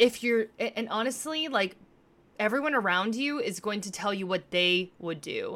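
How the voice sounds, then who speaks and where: Here a woman talks at a moderate pace with lively intonation and a fairly high pitch. It is a normal speaking voice. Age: 30s. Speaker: podcaster and live streamer. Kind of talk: casual monologue on a livestream. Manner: casual, filler-heavy.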